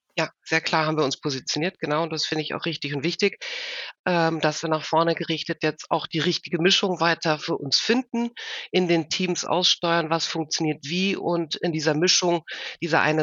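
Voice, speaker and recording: Delivered at a fairly quick pace, the talking keeps a fairly even intonation. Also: woman. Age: 50s. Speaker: HR executive. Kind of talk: interview. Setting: video call.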